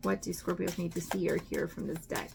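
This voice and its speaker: The woman talks at a moderate pace. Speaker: tarot reader. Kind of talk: tarot reading. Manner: casual, hesitant with fillers.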